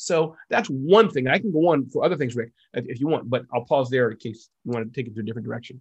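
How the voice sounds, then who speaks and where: A man speaks at a very fast pace with hardly any pauses, in an animated, energetic tone at a medium pitch. His voice is somewhat breathy, over a quiet background. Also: lively intonation. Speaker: entrepreneur and author. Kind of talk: interview. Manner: fast talker.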